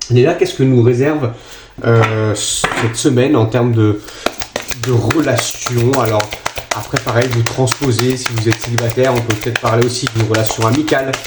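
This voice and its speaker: Medium pitch, moderate speed, a male voice, and noticeable background noise behind it. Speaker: tarot card reader. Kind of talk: tarot reading for viewers. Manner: hesitant, many fillers.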